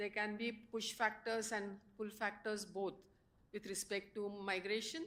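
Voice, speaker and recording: A woman with a medium pitch talks at a fairly slow pace in a monotone, flat intonation. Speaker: professor. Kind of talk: panel presentation. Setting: conference stage with audience. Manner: hesitant, many fillers.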